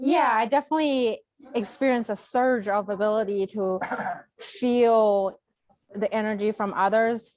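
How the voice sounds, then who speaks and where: A woman with a Chinese accent speaks at a fairly high pitch. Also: ordinary pitch variation, moderate pace. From China. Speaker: Reiki healer and former accountant. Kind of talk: conversational interview. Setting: video call.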